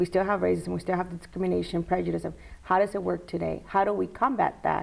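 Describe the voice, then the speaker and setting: A woman talks at a very fast pace. She has a Spanish accent. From Mexico (born Tijuana, raised in Jalisco). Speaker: college lecturer and school board candidate. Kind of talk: casual interview.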